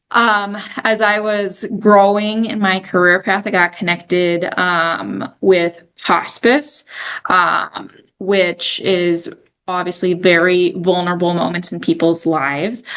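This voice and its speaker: Speaking in a South Dakota accent, a woman of medium pitch talks at a very slow pace with fairly even intonation. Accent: South Dakota accent, mistaken for Canadian. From South Dakota, Sioux Falls. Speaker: senior home care director. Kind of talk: podcast interview.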